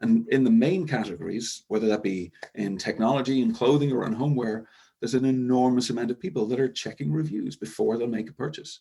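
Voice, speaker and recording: A man's dark, mellow voice at a medium pitch, very fast and with lively intonation, in a slight Irish accent. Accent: Irish, somewhat. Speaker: e-commerce software executive. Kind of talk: webinar presentation. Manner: hesitant fillers.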